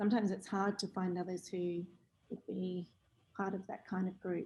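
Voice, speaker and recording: Soft-spoken and somewhat breathy, a woman with an Australian accent uses a dark, mellow tone at medium pitch, with monotone, flat intonation at a moderate pace. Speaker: teacher. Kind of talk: online workshop discussion. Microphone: too quiet.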